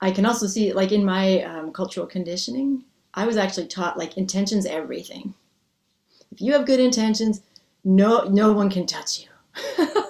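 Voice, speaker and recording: Here is a woman with a normal speaking voice and an American accent. Her pitch is medium with ordinary variation, and her pace is moderate. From US Northeast. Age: 50s. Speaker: Zen priest and dharma teacher. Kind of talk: dharma talk with Q&A. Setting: video call.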